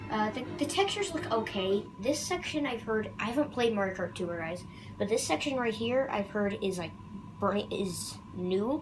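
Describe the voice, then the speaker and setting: The room echo is audible. There is noticeable background noise as well. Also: woman, medium pitch for a woman, lively intonation, moderate pace. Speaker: gaming youtuber. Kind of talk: video game commentary. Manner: halting, with many fillers.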